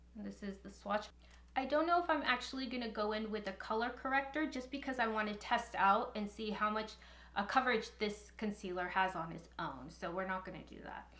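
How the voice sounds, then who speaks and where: A woman with a fairly high pitch, lively intonation, big swings in loudness and vocal fry. Her tone is bright and sharp, with audible room echo. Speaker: beauty youtuber and makeup artist. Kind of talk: makeup review tutorial. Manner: occasionally halting, mumbles words; casual.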